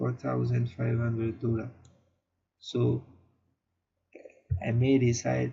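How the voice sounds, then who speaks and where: A man talks at a very slow pace. He speaks with a non-native accent. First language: not English. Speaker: online marketing youtuber. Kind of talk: casual tutorial to camera. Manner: halting, many fillers and repeats.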